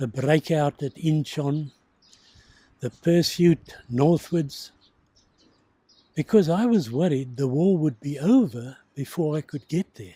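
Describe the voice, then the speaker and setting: A man's somewhat breathy, dark, mellow voice at a fairly high pitch, with ordinary pitch variation, a very slow pace and long, frequent pauses, in a dry, close sound with no echo. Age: 80s+. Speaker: war veteran. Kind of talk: interview testimony.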